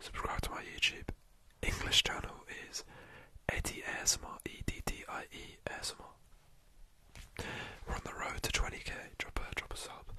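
Whispering at a moderate pace, a man makes big swings in loudness. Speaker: ASMR streamer. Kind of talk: casual talk to camera, live stream chat. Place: home room. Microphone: studio mic.

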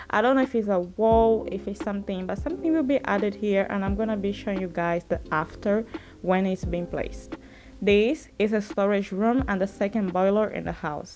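Faint music plays in the background as a woman speaks with ordinary pitch variation. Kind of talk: casual vlog chat. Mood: warm, hopeful. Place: empty room. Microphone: phone near.

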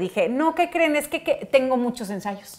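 Pitch swings very widely at a fairly quick pace. The background is quiet. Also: woman. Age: 30s. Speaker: talk show host. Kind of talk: casual chat. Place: home room. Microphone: lapel.

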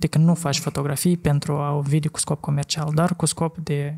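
Here a man with a fairly high pitch speaks at a fairly quick pace, somewhat breathy. His tone is dark and mellow, and his intonation is flat and monotone. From Moldova. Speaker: podcast host, former photographer; podcast host. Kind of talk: casual chat. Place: studio. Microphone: studio mic.

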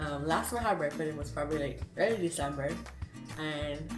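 Clear music plays in the background. A woman talks over it at a moderate pace. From Barbados. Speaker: home cooking vlogger. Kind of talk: casual cooking tutorial to camera. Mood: cheerful, smiling. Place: kitchen. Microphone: phone near.

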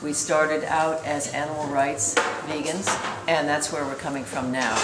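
A woman is speaking. Clear music sounds in the background. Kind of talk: interview answer. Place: cafe. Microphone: phone near.

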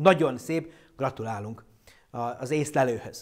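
A man speaks in an animated tone with lively intonation. The background is quiet. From Hungarian community abroad. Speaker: astronomer presenting an astronomy show; presenter. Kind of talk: popular science lecture with live Q&A. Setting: online live stream. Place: studio. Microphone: lapel.

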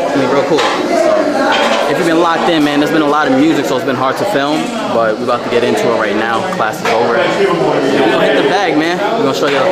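With music in the background, a man talks at a very fast pace. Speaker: vlogger. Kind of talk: casual vlog chat. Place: gym. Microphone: phone near.

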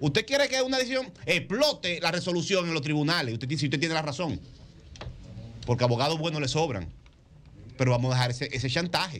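A man at a fairly high pitch and a very fast pace, with very wide pitch swings and long, frequent pauses. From Dominican Republic. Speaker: radio panelist. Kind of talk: political commentary on radio. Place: studio. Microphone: studio mic.

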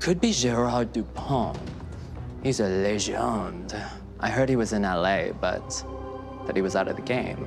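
Fairly low male voice with very wide pitch swings, a fairly slow pace and long, frequent pauses, set over clear background music. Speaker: actor. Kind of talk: TV crime drama scene. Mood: wry, casual, streetwise. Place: home room.

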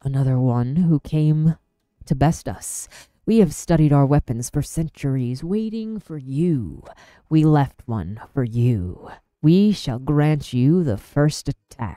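A put-on character voice speaks in a low-to-middle pitch at a fairly slow pace. The recording is very clean, with a silent background. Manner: menacing, formal.

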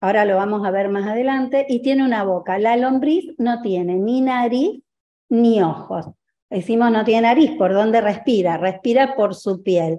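With lively intonation and a dark, mellow tone, a woman speaks at a fairly high pitch and a moderate pace. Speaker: agricultural engineer presenting. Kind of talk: presentation. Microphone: video call.

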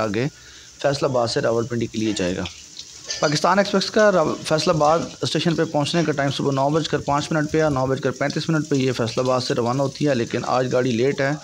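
A man is speaking with ordinary pitch variation. There is light background noise behind him. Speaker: travel vlogger. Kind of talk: casual vlog commentary. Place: station. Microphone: phone near.

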